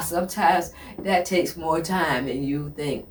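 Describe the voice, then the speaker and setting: Noticeable background noise sits behind a woman speaking in an animated tone. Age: 60s. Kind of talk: motivational talk. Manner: repetitive, halting.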